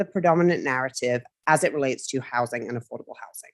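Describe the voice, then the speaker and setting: The woman's voice sounds dry and close, with no echo. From United Kingdom. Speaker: marketing firm executive. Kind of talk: committee presentation.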